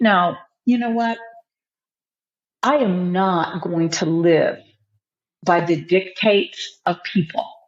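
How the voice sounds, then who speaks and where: A woman at a medium pitch speaks very slowly with ordinary pitch variation and long, frequent pauses. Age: 60s. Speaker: author and minister. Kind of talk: podcast interview. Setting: studio.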